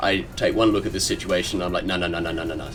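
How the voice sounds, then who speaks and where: Music plays behind a man whose voice is fairly low. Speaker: gaming commentator. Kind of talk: gameplay commentary voice-over. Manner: casual.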